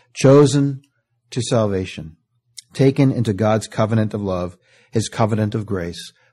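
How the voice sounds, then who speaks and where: Over a quiet background, a man with a fairly low pitch and a dark, mellow tone speaks at a moderate pace, somewhat breathy, with ordinary pitch variation. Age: 50s. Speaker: pastor. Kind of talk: sermon.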